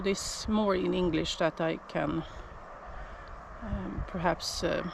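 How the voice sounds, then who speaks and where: Against noticeable background noise, a woman with a Swedish accent speaks fairly slowly, with long, frequent pauses. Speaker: shepherd. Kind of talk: casual vlog. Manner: halting.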